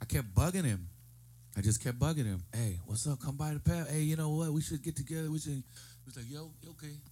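A man with an American accent talks very fast, his fairly high voice somewhat breathy yet dark and mellow in tone. His intonation is lively and his loudness swings widely. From US. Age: 40s. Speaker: musician. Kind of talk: casual chat. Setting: studio.

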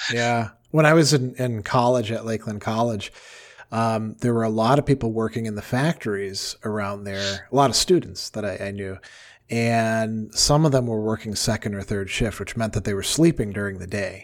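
In a very clean recording with a silent background, a man speaks in an ordinary speaking voice. His pitch is medium and his pace moderate. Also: ordinary pitch variation. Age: 50s. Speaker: philosophy professor and radio co-host. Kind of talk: casual chat.

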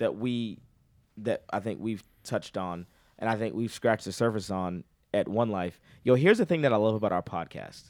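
The recording is very clean with a silent background. A man with an American accent talks fairly quickly at a fairly low pitch, with ordinary pitch variation. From Boston. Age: 30s. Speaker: preacher. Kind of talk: casual chat. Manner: animated.

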